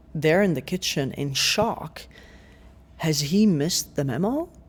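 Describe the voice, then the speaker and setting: This man's voice sits fairly high and is somewhat breathy. He goes at a very slow pace with ordinary pitch variation. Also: long, frequent pauses. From Yemen. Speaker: activist and writer. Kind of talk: personal story in podcast interview. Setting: podcast.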